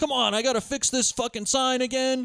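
A man talks at a fairly quick pace. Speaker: podcast host. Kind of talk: casual banter, movie discussion.

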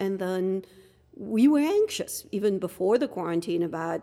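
Speaking at a moderate pace, a woman with a French accent has a medium pitch and a dark, mellow tone. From France, Dunkirk. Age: 50s. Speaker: podcast guest, host's wife. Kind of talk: casual chat.

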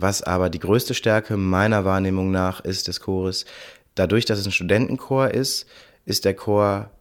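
An ordinary speaking voice from a man, fairly low-pitched, at a moderate pace with fairly even intonation, on a very clean recording with a silent background. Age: 30s. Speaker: choir director and beatboxer. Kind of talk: interview.

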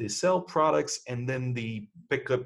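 Somewhat breathy speech from a man with a French accent. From France. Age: 40s. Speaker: podcast host and business owner. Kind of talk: solo podcast monologue. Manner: halting, many fillers.

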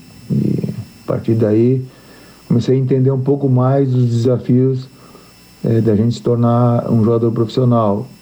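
This man's medium-pitched voice stays monotone and flat, with very even loudness and a fairly slow pace, over noticeable background noise. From western Santa Catarina, Brazil. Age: 50s. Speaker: football coach. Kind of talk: interview. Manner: halting.

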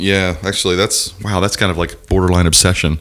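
A man speaks in an animated tone with a very deep, low pitch. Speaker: podcast host. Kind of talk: casual comedic banter. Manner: animated, joking.

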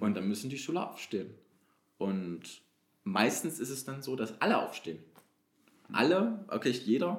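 The voice has vocal fry and very wide pitch swings, with long, frequent pauses throughout. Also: man, medium pitch for a man, moderate pace. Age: 20s. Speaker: youth council member, trainee educator. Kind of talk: interview.

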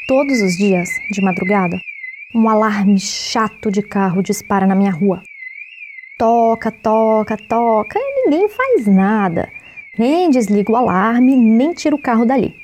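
Pitch varies in an ordinary way at a fairly slow pace, with loudness kept very even. Noticeable background noise sits behind the voice. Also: woman, fairly high pitch for a woman. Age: 20s. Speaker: podcast host, journalist. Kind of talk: scripted narration.

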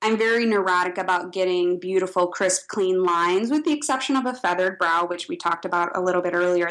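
A woman speaks very fast at a medium pitch, with hardly any pauses. Her loudness stays very even and her pitch varies in an ordinary way. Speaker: esthetician and brow artist. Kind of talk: casual interview.

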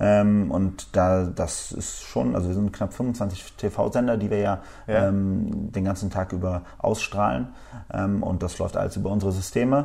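A man's fairly low pitch with ordinary pitch variation. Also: fairly slow pace. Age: 30s. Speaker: media technology executive. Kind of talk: interview. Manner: hesitant, many fillers.

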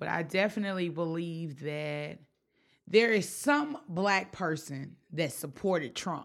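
On a very clean recording with a silent background, a woman with a Memphis accent speaks fairly slowly at a fairly low pitch with ordinary pitch variation. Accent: Southern US, Memphis. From US South, Memphis, Tennessee. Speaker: floral designer and blogger. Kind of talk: casual chat.

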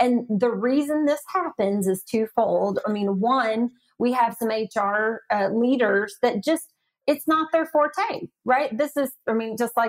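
In a Southern US accent, the voice has ordinary pitch variation and a dry, close sound with no echo. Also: woman. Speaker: AI ethics advisor. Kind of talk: podcast interview.

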